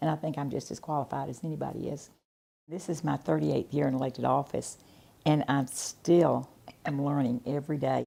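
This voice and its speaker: A woman talks at a fairly quick pace with a very deep, low pitch. Her tone is dark and mellow. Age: 70s. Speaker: mayor. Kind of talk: interview.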